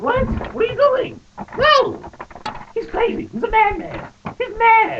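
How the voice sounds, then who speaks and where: In a put-on character voice at an extremely high pitch, the speaker goes at a fairly slow pace with long, frequent pauses. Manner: panicked, shouting.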